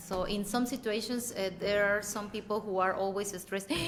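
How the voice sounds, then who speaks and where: In a Mexican accent, a woman speaks at a moderate pace. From Mexico. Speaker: English teaching expert, panelist. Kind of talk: panel discussion. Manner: hesitant, with fillers and repetitions.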